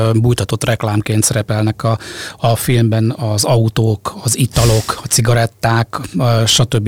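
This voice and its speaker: A man speaks at a fairly slow pace with fairly even intonation, in a dry, close sound with no echo and with noticeable background noise. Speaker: radio host. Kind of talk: casual chat. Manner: hesitant, repeats words.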